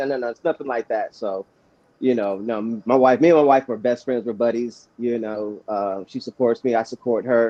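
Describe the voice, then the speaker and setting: A man with a normal speaking voice talks at a moderate pace. His pitch is medium, and his intonation fairly even. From Arizona (Chandler). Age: 40s. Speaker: youth football coach and grower. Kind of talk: casual chat. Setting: livestream.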